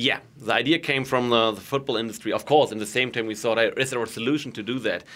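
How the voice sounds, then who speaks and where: This man has a German accent and a bright, sharp tone at medium pitch. He goes at a very fast pace with fairly even intonation and hardly any pauses. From Germany. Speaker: goal-line technology executive. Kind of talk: interview.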